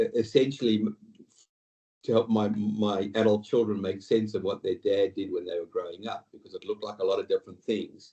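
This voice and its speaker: A man with an Australian accent at a fairly quick pace, with big swings in loudness. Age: 60s. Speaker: retail executive and board director. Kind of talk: interview podcast. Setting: video call. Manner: halting.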